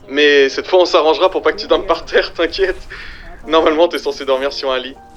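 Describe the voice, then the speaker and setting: A man speaks at a very fast pace with music playing in the background. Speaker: amateur voice actor. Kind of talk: casual talk.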